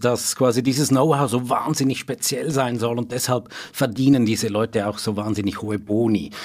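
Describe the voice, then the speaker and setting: Here is a man with a plain, everyday voice. His pitch is medium and his pace moderate. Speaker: financial journalist. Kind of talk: interview.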